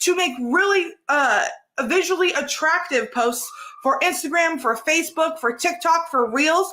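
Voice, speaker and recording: Raised and projected, the voice moves at a fairly slow pace with very wide pitch swings over noticeable background noise. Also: woman. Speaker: content creation coach. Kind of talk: live stream tutorial. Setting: live stream.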